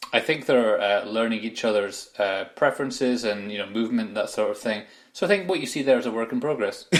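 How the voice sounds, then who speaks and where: With a slight Aberdeen accent, a man speaks very fast at medium pitch with ordinary pitch variation. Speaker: football podcast co-host. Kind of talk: casual chat.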